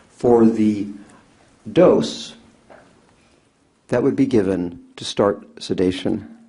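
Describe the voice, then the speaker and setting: With audible room echo, a man speaks at medium pitch in a dark, mellow tone with vocal fry. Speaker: anesthesiologist expert witness. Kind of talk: court testimony. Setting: courtroom.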